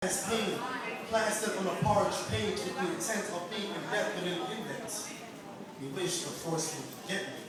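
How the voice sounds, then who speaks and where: Noticeable background noise fills the recording. A man with a high pitch talks with ordinary pitch variation. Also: moderate pace. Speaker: spoken word poet. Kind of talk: spoken word poetry performance.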